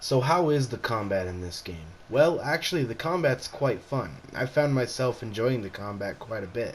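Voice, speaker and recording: Over noticeable background noise, a man at medium pitch speaks at a moderate pace with hardly any pauses, lively intonation and big swings in loudness. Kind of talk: casual video game review. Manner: casual, hesitant.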